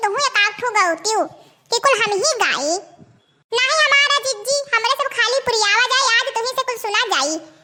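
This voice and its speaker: At a moderate pace, a woman does a squeaky, cartoonish character voice at an extremely high pitch with very even loudness. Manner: folksy, rustic.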